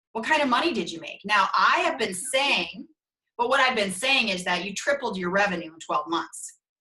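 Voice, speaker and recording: With a strong northern US accent, the speaker sounds animated, bright and sharp. Pitch swings very widely at a moderate pace. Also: woman, medium pitch for a woman. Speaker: brand consultant. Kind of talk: interview.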